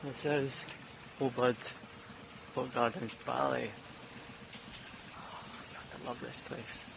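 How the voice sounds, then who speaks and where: Very slow speech from a man, with long, frequent pauses, big swings in loudness and noticeable background noise. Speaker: vlogger. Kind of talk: casual vlog monologue.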